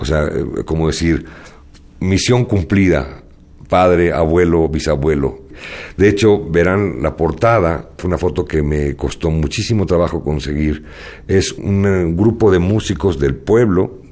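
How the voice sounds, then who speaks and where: A man with a very deep, low pitch and a dark, mellow tone speaks at a fairly slow pace with vocal fry and ordinary pitch variation. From Spain, moved to Mexico. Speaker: jazz arranger and composer. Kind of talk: radio interview.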